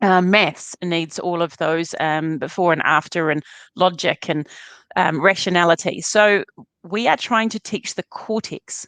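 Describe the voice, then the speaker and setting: A woman with a New Zealand accent, fairly low in pitch with ordinary pitch variation, at a fairly slow pace, in a dry, close sound with no echo and a quiet background. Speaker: neuroscience educator. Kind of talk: interview.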